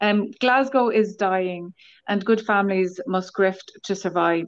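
Here is a woman with an ordinary speaking voice, medium pitch and fairly even intonation. She goes at a fairly slow pace against a quiet background. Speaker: book club member. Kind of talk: casual chat.

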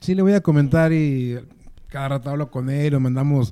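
Dark and mellow in tone, a man's fairly high-pitched voice moves at a moderate pace with fairly even intonation. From Mexico, Durango. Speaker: musician, former drummer. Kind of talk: casual chat.

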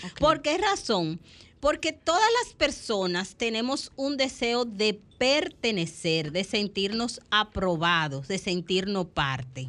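At a very slow pace, a woman speaks at medium pitch with very wide pitch swings. Her loudness swings a lot. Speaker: psychologist and family therapist. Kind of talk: radio talk show.

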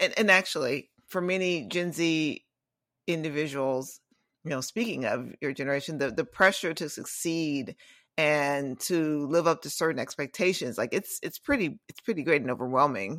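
A woman's very deep, low voice at a moderate pace with lively intonation. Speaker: podcast host. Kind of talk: interview, casual conversation.

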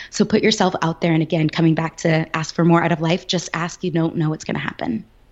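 The speaker's intonation is monotone and flat. The pace is very fast. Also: woman. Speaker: negotiation coach. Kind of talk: interview.

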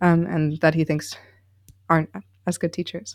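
A woman's fairly low, flat, monotone voice in an American accent at a fairly quick pace, on a very clean recording with a silent background. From US Midwest, Chicago. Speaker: university student. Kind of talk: interview. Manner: hesitant, many fillers.

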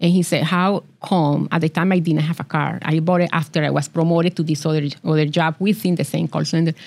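Monotone, flat delivery in a Colombian accent, very even in loudness, at a fairly quick pace. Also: woman, very deep, low pitch for a woman, hardly any pauses. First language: Spanish. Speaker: business accelerator founder. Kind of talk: interview.

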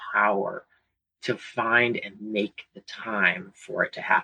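A man with an American accent and a bright, sharp tone, in dry, close sound with no echo. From US South, Virginia (Hanover County near Richmond). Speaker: school community partnerships coordinator. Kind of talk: interview. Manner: uses filler words (um, uh).

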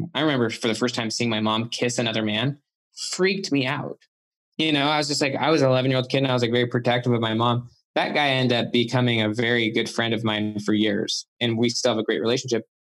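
A very fast man with a Western US accent, medium in pitch with ordinary pitch variation and very even loudness. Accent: American, Western US. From Utah, US. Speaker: author and psychologist. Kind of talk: interview.

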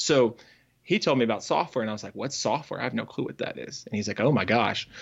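Speaking with an American accent, a man uses a normal speaking voice at medium pitch with ordinary pitch variation. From Northern Virginia. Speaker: software developer and coach. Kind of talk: interview conversation.

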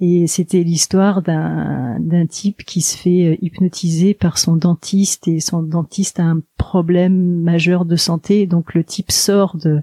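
A woman's fairly low, somewhat breathy voice has a dark, mellow tone and monotone, flat intonation, recorded dry and close with no echo. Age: 50s. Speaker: hypnotherapist. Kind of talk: interview. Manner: halting.

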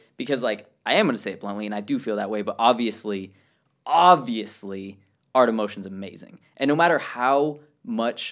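The recording is very clean, with a silent background. A man of medium pitch speaks at a fairly quick pace. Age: 20s. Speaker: parkour athlete. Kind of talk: casual chat. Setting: in-person interview at a summer camp. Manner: loud.

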